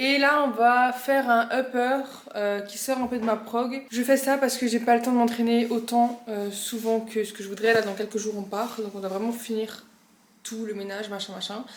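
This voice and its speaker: Intonation stays monotone and flat. Background noise is noticeable. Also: woman, fairly high pitch for a woman. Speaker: fitness youtuber, bodybuilding competitor. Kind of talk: casual vlog talk. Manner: fast; hesitant, many fillers.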